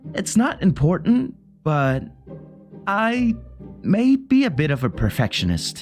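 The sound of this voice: Faint music plays in the background as a man speaks at a slow pace. His pitch makes big swings. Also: high pitch for a man.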